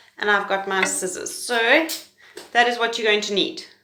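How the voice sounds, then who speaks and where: In a room with audible echo, a woman speaks at a fairly quick pace. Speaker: pre-primary teacher. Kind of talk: tutorial. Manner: fast.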